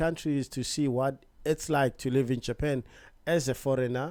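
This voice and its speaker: In a South African accent, a man speaks with a dark, mellow tone and a relaxed tone, on a very clean recording with a silent background. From South Africa, Johannesburg. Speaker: vlogger. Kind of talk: casual vlog introduction. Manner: casual, relaxed.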